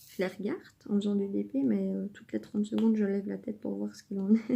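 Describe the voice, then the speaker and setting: A woman speaks at a very fast pace. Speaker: diamond painting youtuber. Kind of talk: casual chat while crafting. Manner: calm, measured.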